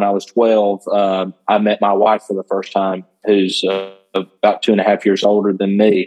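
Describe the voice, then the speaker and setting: Speaking with a Southern US accent, a man uses a fairly low pitch and a flat, monotone delivery at a moderate pace. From Northwest Georgia. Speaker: country worship artist and worship leader. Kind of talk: casual interview.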